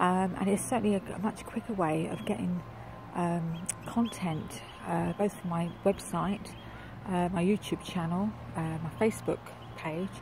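The woman's voice is fairly low in pitch and fairly slow in pace. The sound is dry with no echo, though noticeable background noise is present. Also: ordinary pitch variation. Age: 60s. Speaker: online marketing entrepreneur. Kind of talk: casual talk to camera. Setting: outdoors. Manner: hesitant, many fillers. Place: waterside. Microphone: phone near.

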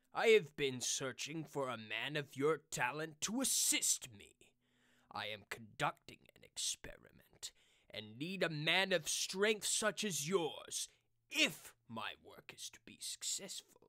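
A man with a smug, menacing tone speaks at a fairly slow pace and fairly high pitch, with very wide pitch swings and big swings in loudness. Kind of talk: fan voice-over redub of a game villain. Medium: solo performance. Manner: smug, gloating, menacing.

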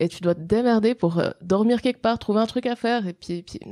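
A woman's dark, mellow tone with ordinary pitch variation, dry and close with no echo on a very clean recording over a silent background. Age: 20s. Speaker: adventurer and author. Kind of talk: interview. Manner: halting.

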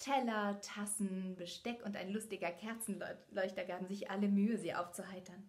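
An unforced reading voice carries this clip. Its intonation is fairly even.

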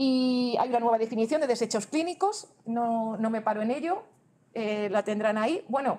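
This woman's voice sits fairly high and moves with ordinary pitch variation. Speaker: government transport official presenting regulations; presenter. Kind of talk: conference presentation. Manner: fast; halting, many self-corrections. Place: hall.

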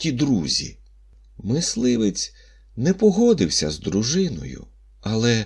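The speaker is reading aloud in a natural voice.

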